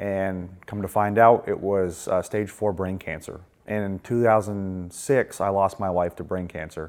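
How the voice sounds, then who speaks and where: A man speaks in an ordinary speaking voice with an American accent. His pitch is fairly low, his pace fairly slow, and his intonation fairly even. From Maine, US. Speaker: air force veteran. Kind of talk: testimony.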